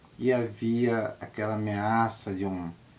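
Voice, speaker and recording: With monotone, flat intonation, a man talks in a fairly low pitch. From Rio de Janeiro state, Brazil. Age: 70s. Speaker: former political prisoner. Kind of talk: testimony.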